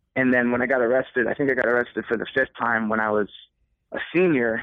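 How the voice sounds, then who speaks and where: Very fast delivery with fairly even intonation, in an American accent. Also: man. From Connecticut shoreline. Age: 30s. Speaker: musician. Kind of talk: casual chat. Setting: phone call.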